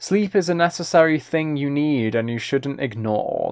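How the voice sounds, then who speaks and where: A man speaks with a British accent. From Britain. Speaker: ASMR streamer and musician. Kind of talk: casual live-stream chat. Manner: halting, with repeated words.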